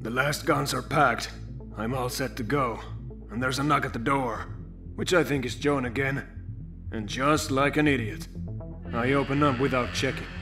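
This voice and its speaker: Someone uses a put-on character voice, leaving long, frequent pauses over loud background music. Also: man, medium pitch for a man, moderate pace. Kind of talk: comic dub. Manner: dry, deadpan.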